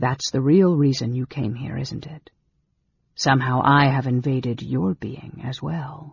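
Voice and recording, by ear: A put-on character voice speaks quietly at a fairly slow pace with ordinary pitch variation. It has a husky, rough edge, vocal fry and hissing.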